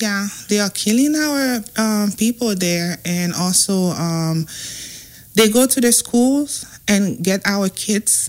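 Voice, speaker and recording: A woman with a Haitian accent at a medium pitch, with lively intonation and a very slow pace. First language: Haitian Creole. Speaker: nonprofit organization representative. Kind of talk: radio interview. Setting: radio studio. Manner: halting.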